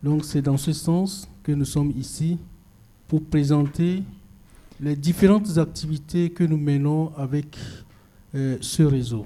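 With a dark, mellow tone, a man of fairly high pitch speaks somewhat breathily at a fairly slow pace, his intonation fairly even and broken by long, frequent pauses. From Togo, central region. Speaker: activist network coordinator. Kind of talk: talk at a public discussion event. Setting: event venue with audience.

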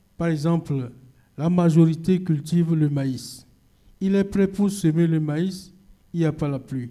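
A man with a fairly high pitch and a dark, mellow tone speaks at a fairly slow pace, using ordinary pitch variation and long, frequent pauses. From Togo, central region. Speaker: activist network coordinator. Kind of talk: talk at a public discussion event. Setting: event venue with audience.

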